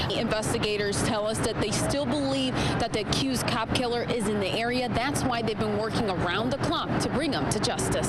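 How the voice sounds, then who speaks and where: A woman's voice over noticeable background noise. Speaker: TV news reporter. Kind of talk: TV news field report.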